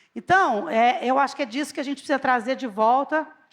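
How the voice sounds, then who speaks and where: A woman with a Brazilian accent and lively intonation. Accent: countryside Brazilian. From Brazil, countryside (interior). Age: 50s. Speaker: executive speaker. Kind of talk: conference talk.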